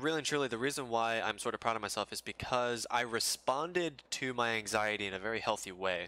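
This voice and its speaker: A man speaks at a moderate pace with a medium pitch. His tone is bright and sharp, with ordinary pitch variation. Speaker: gaming livestreamer. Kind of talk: casual livestream chat while gaming. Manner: halting, with frequent fillers and repeated words.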